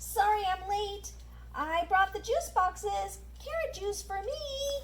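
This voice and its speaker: The speaker uses a cartoonish character voice at a fairly slow pace. Clear background noise can be heard. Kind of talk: children's puppet show.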